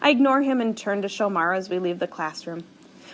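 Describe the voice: Simple, plain reading aloud.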